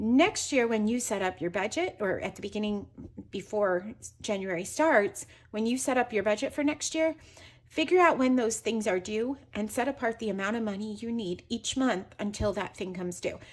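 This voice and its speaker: With a fairly high pitch and lively intonation, this woman has an ordinary speaking voice. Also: moderate pace. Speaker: personal finance youtuber. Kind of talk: tutorial.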